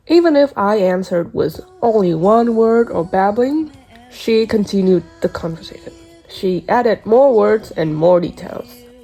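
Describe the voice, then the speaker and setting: Music can be heard in the background. The speaker uses lively intonation at a moderate pace. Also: woman, medium pitch for a woman. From Vietnam, Ho Chi Minh City. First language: Vietnamese. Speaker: student. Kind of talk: scripted narration. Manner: formal.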